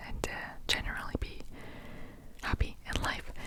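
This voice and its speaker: Relaxed whispering at a moderate pace, with noticeable background noise. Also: woman. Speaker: ASMR content creator. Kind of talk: whisper ramble ASMR, casual talk to camera. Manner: whispered, relaxed, rambling.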